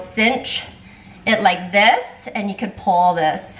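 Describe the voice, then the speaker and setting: There is noticeable room reverb around the woman as she talks. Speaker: lifestyle vlogger. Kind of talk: casual haul vlog chat. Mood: cheerful, enthusiastic. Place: kitchen. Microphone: camera far.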